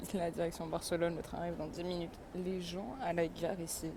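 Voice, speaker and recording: A woman talks at a fairly quick pace in a fairly low pitch. Her tone is dark and mellow, with vocal fry. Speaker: travel vlogger. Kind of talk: casual vlog. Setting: outdoors walking. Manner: casual, hesitant with fillers.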